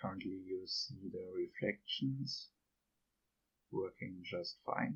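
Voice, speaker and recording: Speaking with a non-native accent, a man goes at a very slow pace with long, frequent pauses. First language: not English. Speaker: game developer tutor. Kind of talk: software tutorial narration.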